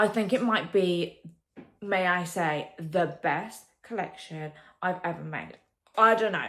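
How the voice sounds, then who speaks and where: A woman speaks with an English accent. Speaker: vlogger and potter. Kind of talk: casual vlog talk. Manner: animated.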